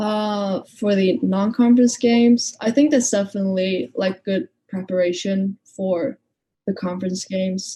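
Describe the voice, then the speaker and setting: With a slight Icelandic accent, a woman speaks in a dark, mellow tone. Her voice is somewhat breathy, with ordinary pitch variation. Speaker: college basketball player. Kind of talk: interview.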